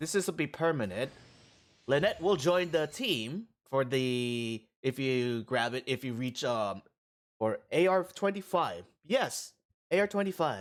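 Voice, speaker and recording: On a very clean recording with a silent background, a man with a fairly high voice speaks fairly slowly, with very wide pitch swings and long, frequent pauses. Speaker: gaming streamer. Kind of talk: gameplay commentary. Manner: halting.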